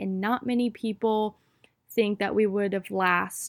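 The recording is very clean, with a silent background and a dry, close sound with no echo. A woman speaks at a moderate pace and a fairly high pitch. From US South, North Carolina (Wilmington). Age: 20s. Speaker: podcast host, college student. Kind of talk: casual monologue. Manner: animated.

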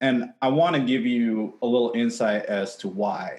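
A man's normal speaking voice with an American accent, medium pitch, ordinary pitch variation and a moderate pace. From Seattle, US. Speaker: advertising industry organizer. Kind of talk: heated debate.

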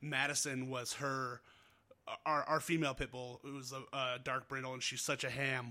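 A man's fairly high, bright, sharp voice in an American accent, monotone and flat, at a moderate pace. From Northern Nevada. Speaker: podcast host. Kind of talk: casual chat. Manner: casual, friendly.

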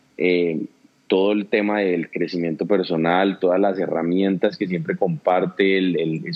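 Very deep and low, a man's voice keeps fairly even intonation. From Colombia, Pereira and Cali. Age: young. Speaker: entrepreneur. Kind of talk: interview conversation.

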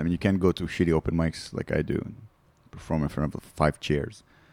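Very deep and low, this man's voice carries vocal fry. His intonation is lively. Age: 30s. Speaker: stand-up comedian. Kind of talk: casual chat. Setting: studio.

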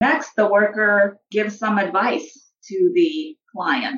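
A woman is speaking. Her pitch is medium. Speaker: social work professor. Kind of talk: interview with role-play. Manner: formal.

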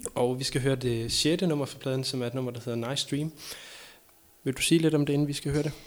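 A man talks very fast in a fairly high voice for a man, his intonation fairly even. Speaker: podcast host. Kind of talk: casual chat.

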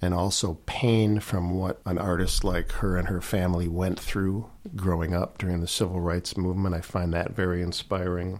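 In a very clean recording with a silent background, a man with a Chicago accent speaks at a very deep, low pitch. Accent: Chicago American. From Chicago, northwest side. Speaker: blues guitarist. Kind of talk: interview. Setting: radio studio.

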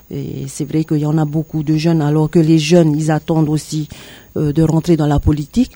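Speaking at a moderate pace, a woman has a very deep, low pitch and monotone, flat intonation. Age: 50s. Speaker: political candidate. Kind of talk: radio interview. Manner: halting, many hesitations.

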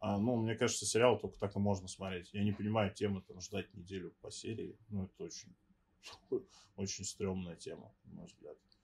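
The voice is somewhat breathy and monotone with flat intonation, and its loudness swings widely. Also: man, fairly low pitch for a man, moderate pace. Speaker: podcast co-host. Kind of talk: casual chat.

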